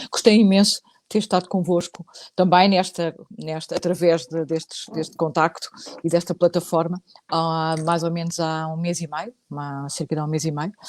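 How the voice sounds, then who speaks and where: A woman's fairly low voice with a European Portuguese accent, moderate pace, fairly even intonation, big swings in loudness, and a dry, close sound with no echo. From Portugal. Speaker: psychologist, psychotherapist. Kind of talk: casual chat, online live talk. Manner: hesitant, many fillers.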